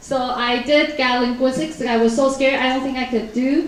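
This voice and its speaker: A woman speaks in a high voice with a Taiwanese accent, ordinary pitch variation, and a moderate pace. The recording carries audible room echo and noticeable background noise. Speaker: professional interpreter. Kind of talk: talk to a live audience. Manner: casual, conversational.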